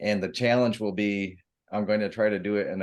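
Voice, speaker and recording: A soft-spoken man with an American accent and a fairly low pitch, at a fairly quick pace with fairly even intonation against a quiet background. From US Midwest, Michigan (Grand Rapids). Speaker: author. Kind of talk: group video call introduction.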